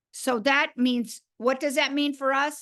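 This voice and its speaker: Speaking at a fairly slow pace against a quiet background, a woman has an animated, bright and sharp tone. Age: 70s. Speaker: network marketing leader. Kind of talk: talk to a sales team.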